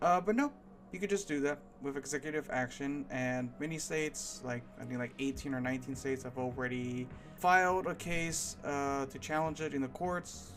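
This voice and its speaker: Music in the background behind a man's moderate pace and ordinary pitch variation. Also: fairly high pitch for a man. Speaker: political commentary vlogger. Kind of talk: unscripted rant.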